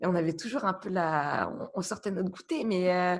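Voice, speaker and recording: A woman is speaking. Her pace is moderate. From France, Burgundy. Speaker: guest professional. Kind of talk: podcast interview. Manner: hesitant, many fillers.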